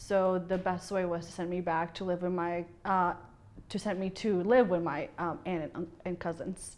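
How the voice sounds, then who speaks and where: With a Spanish accent, a woman speaks at a moderate pace in a fairly low pitch and monotone, flat intonation. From Bolivia, then Kansas City from age eleven. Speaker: bartender. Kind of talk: interview.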